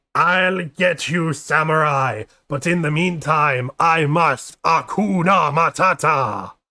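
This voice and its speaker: A man speaks in a put-on character voice pitched fairly high, at a fairly slow pace. The recording is very clean, with a silent background. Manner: menacing, put-on.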